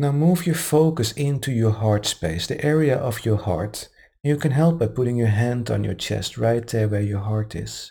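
With a non-native accent, a man speaks at a moderate pace and medium pitch, his tone dark and mellow, somewhat breathy, with lively intonation. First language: not English. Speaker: meditation group host. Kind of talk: guided meditation. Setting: live-streamed recording.

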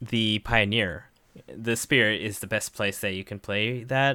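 A man talks at a medium pitch with a bright, sharp tone. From Japan. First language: Japanese. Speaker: game judge and co-host. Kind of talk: casual chat.

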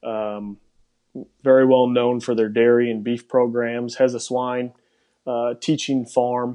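A medium-pitched man with a Wisconsin accent and monotone, flat intonation. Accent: Wisconsin Upper Midwest. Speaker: pig industry professional. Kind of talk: casual interview chat.

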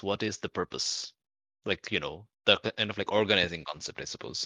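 A man's bright, sharp tone at a moderate pace, dry and close with no echo over a quiet background. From Bangladesh. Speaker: academic and podcast player. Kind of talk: casual chat.

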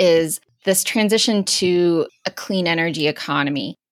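At a fairly slow pace, a woman speaks in an ordinary speaking voice with medium pitch and fairly even intonation. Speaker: climate policy editor and podcast host. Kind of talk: interview conversation.

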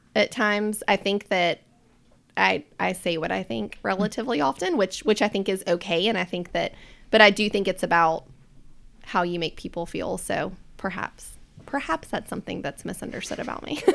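A woman with an American accent, medium pitch and vocal fry, lively intonation at a moderate pace. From US South, Charlotte, North Carolina. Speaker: behavior analysis business owner. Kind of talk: casual chat.

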